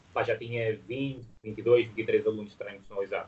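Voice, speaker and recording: A man's voice, somewhat breathy, keeps a fairly even intonation. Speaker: fitness business founder. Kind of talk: interview. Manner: halting.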